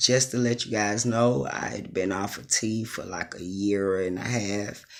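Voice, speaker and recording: A man's fairly low-pitched voice with fairly even intonation at a fairly slow pace. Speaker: transgender vlogger. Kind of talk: casual vlog monologue. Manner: casual, hesitant with many ums.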